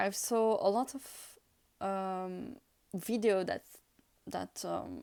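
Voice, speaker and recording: The speech moves at a very slow pace with ordinary pitch variation. Long pauses come often. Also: woman. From France / Italy. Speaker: tarot reader. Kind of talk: casual talk to camera, tarot deck flip-through. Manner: hesitant, many fillers.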